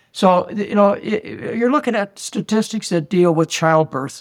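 Speaking at a moderate pace, a man delivers the lines. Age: 70s. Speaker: physician and nutrition expert. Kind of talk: interview podcast.

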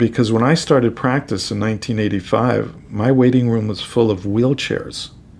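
A man with an American accent talks in an ordinary speaking voice at medium pitch, fairly even in intonation and with hardly any pauses. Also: moderate pace. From New York City. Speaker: rheumatologist. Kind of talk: interview.

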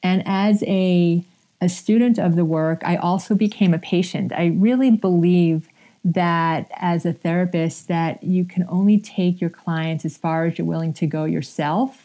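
On a very clean recording with a silent background, a woman with a fairly low pitch and fairly even intonation uses a normal speaking voice. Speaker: somatic therapist and author. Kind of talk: radio interview.

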